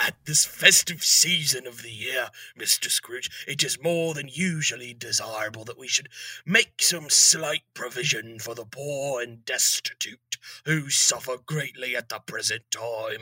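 A man does a raspy, put-on character voice at a moderate pace, his loudness swinging widely in a dry, close sound with no echo. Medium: audio drama. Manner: formal, polite.

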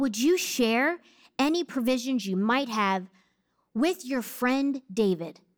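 A woman with an American accent speaks in a high voice with very wide pitch swings and an animated tone. The recording is very clean, with a silent background. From New Jersey. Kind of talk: sermon.

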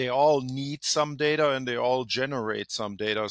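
A man with a German accent at a moderate pace, medium pitch and fairly even intonation, on a very clean recording with a silent background. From Germany. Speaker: healthcare IT executive. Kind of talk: interview.

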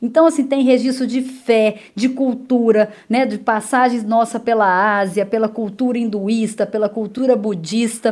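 With a Minas Gerais accent, a woman speaks at a fairly high pitch with hardly any pauses, on a very clean recording with a silent background. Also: fairly even intonation, fairly slow pace. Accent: Minas Gerais (mineiro) accent, still present. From Minas Gerais, Brazil (Itaúna). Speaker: travel journalist. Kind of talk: radio interview.

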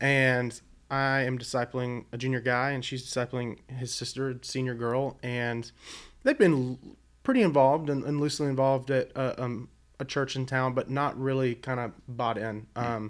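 A man with an American accent, flat monotone intonation and a moderate pace, on a very clean recording with a silent background. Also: medium pitch for a man. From Virginia (Blacksburg), early childhood in southeast Arkansas. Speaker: youth ministry leader. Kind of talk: casual chat. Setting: studio.

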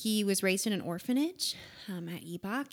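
This woman has an ordinary speaking voice with an American accent. Her pitch varies an ordinary amount. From US Pacific Northwest, Western Washington. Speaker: missionary. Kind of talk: interview.

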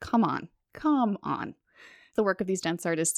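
An ordinary speaking voice moves at a fairly quick pace with lively intonation. The recording is very clean with a silent background and a dry, close sound with no echo. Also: woman. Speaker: podcast host and dance magazine editor. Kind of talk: podcast chat and interview.

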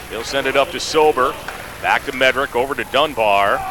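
The speaker sounds animated and energetic, with noticeable background noise behind the voice. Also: man. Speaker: radio play-by-play announcer. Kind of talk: live commentary. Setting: radio broadcast from arena. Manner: rapid-fire, fluent play-by-play; animated, steady, energetic.

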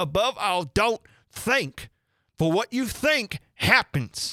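In a very clean recording with a silent background, a man does a put-on character voice that is high-pitched, bright and sharp, with big pitch swings and a slow pace.

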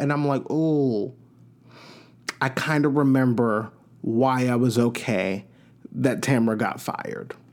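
A man's medium-pitched voice in an American accent, fairly slow, with long, frequent pauses. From New York. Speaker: podcast host. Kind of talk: casual solo podcast chat. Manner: chatty, upbeat.

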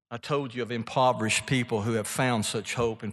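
Monotone and flat in intonation, a man with a medium-pitched voice speaks at a fairly quick pace. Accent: Mississippi. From Mississippi, US South. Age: 70s. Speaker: author and speaker, former businessman. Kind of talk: sermon-like talk to a live audience. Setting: stage with audience.

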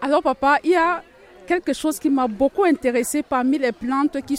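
Lively intonation from a high-pitched woman, with noticeable background noise. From Cameroon. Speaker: migrant, community participant. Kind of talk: radio panel discussion.

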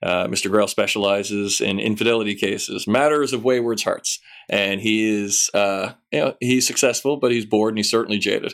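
A man speaks in a normal speaking voice, fairly low in pitch, at a fairly quick pace with fairly even intonation. The recording is very clean, with a silent background. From Canada, Newfoundland. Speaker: novelist. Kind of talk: casual interview; book description.

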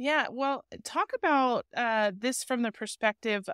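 A woman with a plain, everyday voice speaks at a fairly slow pace with ordinary pitch variation, the very clean recording sounding dry and close with no echo over a silent background. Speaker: podcast host. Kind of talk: casual interview.

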